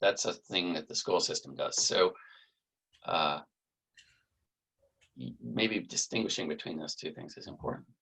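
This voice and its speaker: A man speaks at a moderate pace, with long, frequent pauses. His loudness swings widely. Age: 60s. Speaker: cartographer. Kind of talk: casual interview.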